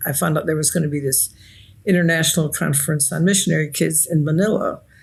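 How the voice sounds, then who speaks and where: Somewhat breathy, a woman speaks at a very deep, low pitch with ordinary pitch variation. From Nigeria. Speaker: author and researcher. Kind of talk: interview. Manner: reflective storytelling.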